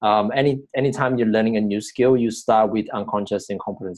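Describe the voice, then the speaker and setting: A man with a non-native accent, fairly low in pitch and very fast, with fairly even intonation. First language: not English. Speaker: personal growth coach. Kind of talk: vlog-style teaching monologue. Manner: hesitant, many fillers.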